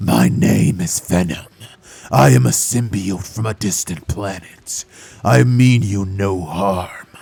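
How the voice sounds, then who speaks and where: Putting on a character voice, a man speaks with a very deep, low pitch. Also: fairly slow pace. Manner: menacing.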